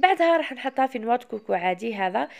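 Lively intonation and a fairly high pitch mark this woman's moderately paced speech in an Algerian accent. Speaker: cooking video creator. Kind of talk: cooking tutorial.

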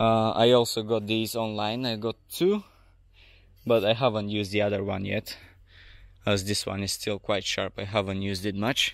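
Here a man talks in a monotone, flat intonation at a moderate pace. His pitch is fairly low, and the sound is dry with no echo. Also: quiet background. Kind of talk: casual tutorial walkthrough. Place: garden. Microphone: phone near.

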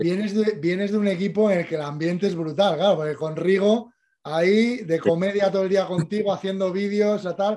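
Over light background noise, a man with a high pitch and a dark, mellow tone speaks at a moderate pace with fairly even intonation. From Spain. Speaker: cycling show host. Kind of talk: casual interview. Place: home room. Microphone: studio mic.

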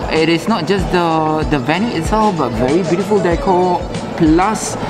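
With clear music playing in the background, a man speaks at a moderate pace. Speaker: wedding venue representative. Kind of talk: interview answer. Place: hall. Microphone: lapel.

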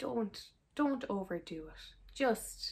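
The speaker is a woman with an Irish accent. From Ireland. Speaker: actor. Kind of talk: casual reaction to camera. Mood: amused, exasperated. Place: home room.

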